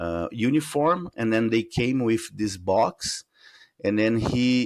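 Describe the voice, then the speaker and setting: A man's medium-pitched voice with a Portuguese accent and lively intonation, at a very slow pace, in a very clean recording with a silent background. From Brazil. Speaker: UFO researcher. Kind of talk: interview. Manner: halting, searching for words.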